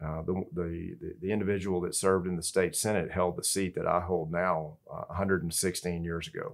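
A man with a Texan accent speaks in a very deep, low voice at a fairly quick pace. His intonation is monotone and flat. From Texas. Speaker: state senator. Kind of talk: interview. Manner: halting, many fillers.

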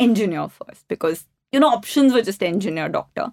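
The speaker has an Indian accent. The pace is fairly quick. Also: woman. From India, Delhi. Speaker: company co-founder and CEO. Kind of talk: interview.

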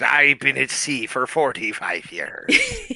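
Light background noise accompanies a put-on character voice. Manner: stereotypical pirate.

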